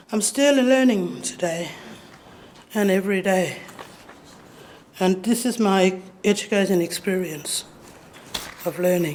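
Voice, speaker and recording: A woman talks at a fairly slow pace with long, frequent pauses, at a medium pitch and with ordinary pitch variation. The room echo is audible, and background noise is noticeable. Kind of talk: public lecture. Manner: halting.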